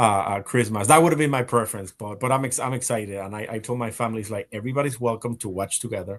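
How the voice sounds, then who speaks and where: Speaking with a Spanish accent, a man rushes along at a very fast pace with hardly any pauses, his medium pitch showing ordinary variation. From Spain and Puerto Rico. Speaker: live stream host. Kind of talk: casual panel chat. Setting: live stream. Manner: halting, many repetitions.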